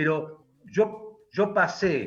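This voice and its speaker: A man speaks with a Rioplatense accent while music plays in the background. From Argentina, Buenos Aires. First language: Hungarian (speaking Spanish). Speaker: philosopher and writer. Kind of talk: interview. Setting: radio studio. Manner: halting.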